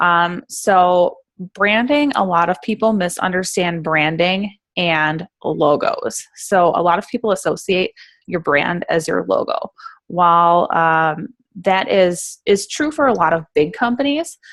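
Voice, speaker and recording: Lively intonation marks this woman's speech. She talks at a fairly slow pace with a medium pitch. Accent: Upper Midwest. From Central Wisconsin. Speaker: brand designer and coach. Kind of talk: informal presentation. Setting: group conference call.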